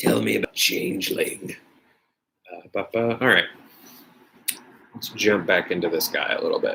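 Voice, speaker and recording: A man speaks at a moderate pace, with long, frequent pauses. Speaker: YouTuber. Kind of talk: casual live stream chat while painting. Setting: home live stream. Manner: hesitant, many fillers.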